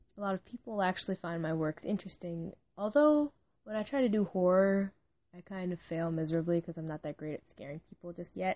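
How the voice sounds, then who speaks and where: The delivery comes at a very fast pace with lively intonation. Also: woman, medium pitch for a woman. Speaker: amateur fiction writer and podcaster. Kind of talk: casual solo monologue. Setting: home recording, late at night. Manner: rambling, hesitant.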